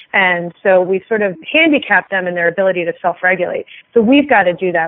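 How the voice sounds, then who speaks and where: A woman's medium-pitched, normal speaking voice with ordinary pitch variation. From Philadelphia area, Pennsylvania. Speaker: veterinarian and pet product inventor. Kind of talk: interview.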